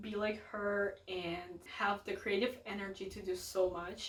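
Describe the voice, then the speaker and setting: With a Russian accent, a woman speaks at medium pitch with fairly even intonation against noticeable background noise. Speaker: book youtuber. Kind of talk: casual vlog talk to camera. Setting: home, filming with family in the house.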